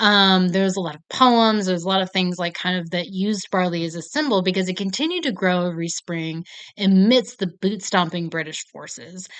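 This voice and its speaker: This woman has an unremarkable speaking voice with an American accent, a medium pitch, ordinary pitch variation and a fairly quick pace with hardly any pauses. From United States. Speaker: film review vlogger. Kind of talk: casual chat. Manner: casual, filler-heavy.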